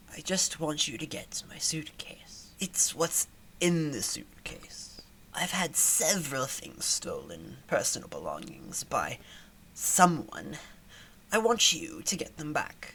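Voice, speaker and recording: A woman whispers in a put-on character voice at a fairly slow pace. Clear background noise is heard behind her. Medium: actual play. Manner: measured, unhurried.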